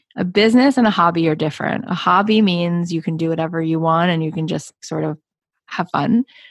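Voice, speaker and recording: A woman speaks in a plain, everyday voice, fairly low in pitch with ordinary pitch variation. The background is quiet, and the sound is dry and close with no echo. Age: 40s. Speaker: podcast host and business coach. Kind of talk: interview.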